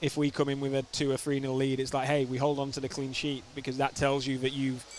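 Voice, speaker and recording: A man with a Yorkshire accent talks in a fairly high voice. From Yorkshire, northern England. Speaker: sports commentator. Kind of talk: live commentary.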